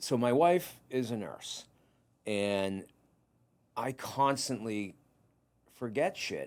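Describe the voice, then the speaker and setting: Intonation is lively in a Boston accent. The pace is very slow, with long, frequent pauses. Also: man, medium pitch for a man. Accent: Boston-area New England. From Massachusetts, Whitman. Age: 50s. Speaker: podcast host and private investigator. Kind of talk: casual interview chat.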